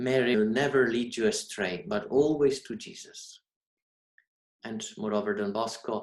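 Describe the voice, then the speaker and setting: A man with a Polish accent talks at a fairly slow pace, his medium pitch carried by lively intonation. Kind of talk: sermon. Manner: formal.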